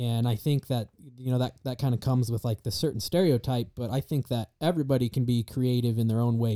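A man speaks very fast in a Mountain West accent, at a medium pitch with ordinary pitch variation. His tone is dark and mellow, and the sound is dry and close with no echo. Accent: US Mountain West, general American. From Star Valley, Wyoming. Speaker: college student, guest. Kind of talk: casual chat.

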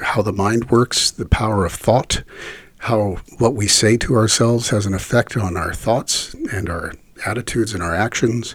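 Somewhat breathy, a man speaks in a fairly low voice at a moderate pace. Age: 50s. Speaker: voice actor. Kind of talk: interview. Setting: shared handheld microphone.

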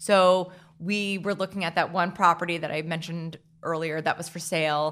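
A woman speaks in a plain, everyday voice at a moderate pace and fairly low pitch. Her intonation is fairly even on a very clean recording with a silent background. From New Jersey (Hackettstown). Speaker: winery owner. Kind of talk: interview.

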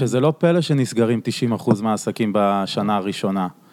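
At a fairly slow pace, a man with an unremarkable speaking voice talks with lively intonation. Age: 30s. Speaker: podcast host. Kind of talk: casual chat.

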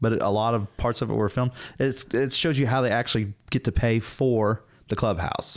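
Moderately paced speech comes with a Southern US accent and fairly even intonation. The loudness stays very even, and the sound is dry and close with no echo. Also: man, medium pitch for a man. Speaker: podcast co-host. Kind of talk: casual chat.

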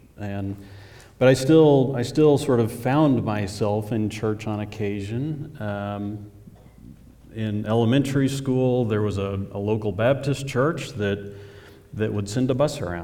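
An American man with an ordinary speaking voice talks at a fairly slow pace, with ordinary pitch variation. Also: medium pitch for a man. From Oklahoma, near Oklahoma City. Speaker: church member. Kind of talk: testimony. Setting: church stage with audience.

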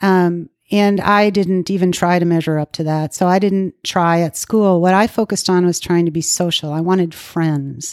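In a very clean recording, silent background, with a dry, close sound with no echo, a woman with an American accent uses a plain, everyday voice at a fairly low pitch, a moderate pace, fairly even intonation and hardly any pauses. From Minnesota, US Midwest. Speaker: recovering alcoholic sharing her story. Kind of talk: testimony.

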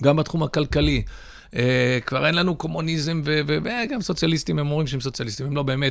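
A man speaks at a fairly quick pace with a fairly high pitch, in an ordinary speaking voice. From Israel (Ra'anana), born in the US. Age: 40s. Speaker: rabbi, author and publisher. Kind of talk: interview conversation.

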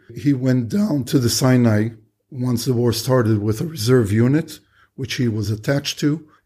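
The man's voice has a dark, mellow tone. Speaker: war veteran. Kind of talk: interview testimony.

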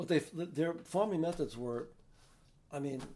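Man with a New York accent, dark, mellow tone, ordinary pitch variation, fairly slow pace. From New York City (the Bronx). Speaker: retired activist and Irish musician. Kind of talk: interview. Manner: halting.

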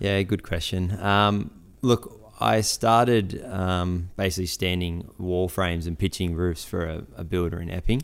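A man with a very deep, low pitch, an Australian accent, ordinary pitch variation and a fairly slow pace. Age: 20s. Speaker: builder and business owner. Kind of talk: interview. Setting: barn workshop. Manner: hesitant, many fillers.

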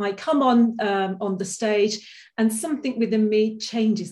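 A woman's fairly high voice with a dark, mellow tone, a moderate pace, and ordinary pitch variation. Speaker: inspirational speaker. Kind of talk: online masterclass talk. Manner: loud; animated.

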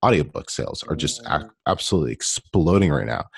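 A man with a Canadian accent and a very deep, low pitch, with vocal fry and a dry, close sound with no echo. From Canada. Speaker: self-publishing coach. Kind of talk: casual interview.

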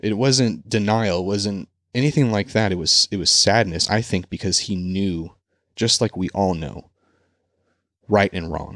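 A man with an American accent speaks in an ordinary speaking voice at a fairly low pitch and a fairly slow pace, with ordinary pitch variation, on a very clean, dry, close recording with no echo and a silent background. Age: 30s. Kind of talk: monologue sermon-style talk. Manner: informal, conversational, with fillers.

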